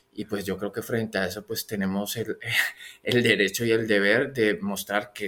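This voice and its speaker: A man talks at a moderate pace in a fairly low pitch. The recording is very clean, with a silent background. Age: 40s. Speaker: podcast host. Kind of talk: interview. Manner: halting, with many repetitions.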